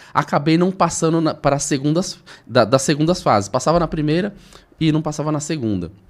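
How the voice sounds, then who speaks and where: With vocal fry and a fairly high pitch, a man talks at a fairly quick pace. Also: ordinary pitch variation. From Brazil, Osasco (São Paulo area). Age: 40s. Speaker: entrepreneur. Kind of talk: interview.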